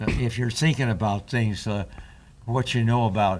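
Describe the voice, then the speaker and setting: A man talks at a fairly slow pace, medium in pitch with ordinary pitch variation. His voice is somewhat breathy. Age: 90s. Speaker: war veteran. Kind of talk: casual chat. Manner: halting.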